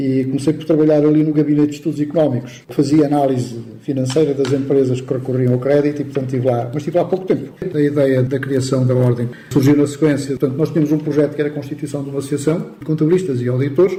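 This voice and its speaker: Noticeable background noise sits under a man talking at a very fast pace with hardly any pauses. His pitch is fairly high, with fairly even intonation. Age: 70s. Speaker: accountant, former professional body president. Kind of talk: radio interview.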